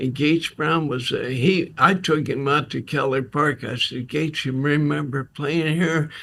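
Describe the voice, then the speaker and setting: This man has an American accent and a fairly high pitch, talking at a fairly slow pace with fairly even intonation. It is a plain, everyday voice. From Ohio, Crestline. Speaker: retired football coach. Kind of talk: casual interview storytelling.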